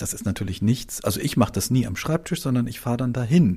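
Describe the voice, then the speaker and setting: With a dark, mellow tone, a man's voice comes through somewhat breathy. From Hamburg, northern Germany. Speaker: travel journalist. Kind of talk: interview. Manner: halting, many fillers.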